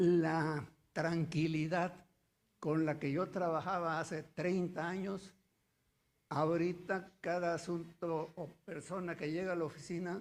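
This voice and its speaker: Speaking very slowly, a man uses a high pitch and a monotone, flat delivery. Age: 80s. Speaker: notary, audience member. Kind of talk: audience comment in Q&A. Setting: theater with audience.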